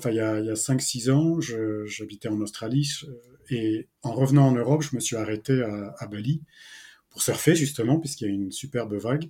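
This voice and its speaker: Ordinary pitch variation from a man, at a moderate pace. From France, Brittany. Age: 50s. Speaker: entrepreneur and ocean conservation association founder. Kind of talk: interview. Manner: halting, many hesitations.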